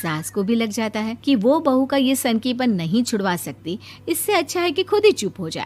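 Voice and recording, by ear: A woman's fairly high voice with a slightly mellow tone, big pitch swings and a moderate pace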